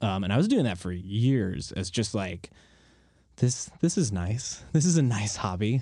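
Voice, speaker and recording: Fairly low and somewhat breathy, this man's dark, mellow voice has lively intonation, a fairly slow pace and an American accent. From northern Connecticut, US. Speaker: soda maker, business owner. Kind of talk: casual chat. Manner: halting.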